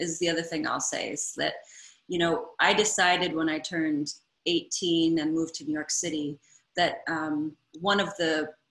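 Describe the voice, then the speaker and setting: A woman with an American accent speaks in a fairly low voice. Her pace is moderate. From US Midwest, Ann Arbor, Michigan. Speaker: interviewer, theatre director and choreographer. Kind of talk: interview conversation.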